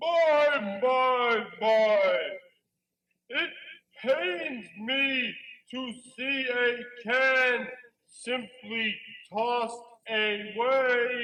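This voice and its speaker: In a cartoonish character voice with a fairly high pitch, the speaker goes at a very slow pace with long, frequent pauses. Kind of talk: live puppet show. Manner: brash, mocking.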